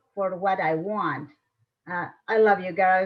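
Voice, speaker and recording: A woman with a non-native accent speaks at a very slow pace. Her medium-pitched voice keeps fairly even intonation. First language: Spanish. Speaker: panelist, former newspaper editor. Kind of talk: panel discussion.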